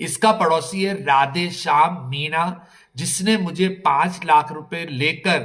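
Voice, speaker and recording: A man talks in a high pitch with fairly even intonation. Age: 60s. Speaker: palace owner in land dispute. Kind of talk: interview statement. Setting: on location at palace. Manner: halting.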